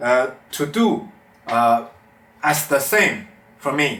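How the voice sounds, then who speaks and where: Lively intonation marks this very slow speech in a Chinese accent. Noticeable background noise and audible room echo come through as well. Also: man. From China, Beijing. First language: Mandarin Chinese. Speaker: amateur metal vocalist learner. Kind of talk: vlog tutorial. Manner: halting.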